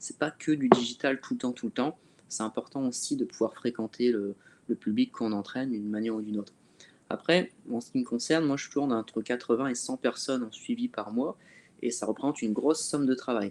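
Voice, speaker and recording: In a dry, close sound with no echo, a man with a normal speaking voice talks at a medium pitch and a fairly quick pace. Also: ordinary pitch variation. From northern France (Calais). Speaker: fitness coach. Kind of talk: webinar discussion.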